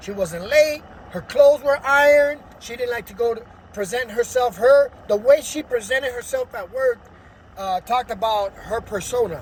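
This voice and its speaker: The speaker has a Spanish accent and keeps a moderate pace. Noticeable background noise is present. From Los Angeles, US. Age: adult. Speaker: vlogger telling life story. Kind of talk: personal testimony. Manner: energetic, hyperactive; hesitant with fillers.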